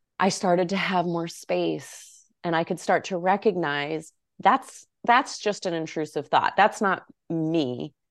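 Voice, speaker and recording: In a quiet background, a woman speaks at a fairly low pitch and a fairly slow pace. Hers is an unremarkable speaking voice with ordinary pitch variation. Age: 40s. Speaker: yoga teacher and author. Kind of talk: interview.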